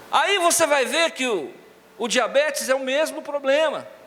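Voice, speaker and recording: Amid noticeable background noise, a man talks fairly slowly in an animated tone with ordinary pitch variation. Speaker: pastor. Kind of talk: sermon. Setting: church with congregation.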